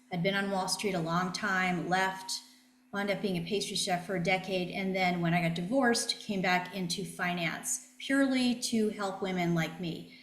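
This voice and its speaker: The background has noticeable noise and audible room echo. A woman speaks at medium pitch with fairly even intonation. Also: moderate pace. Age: 60s. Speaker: financial planner. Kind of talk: interview.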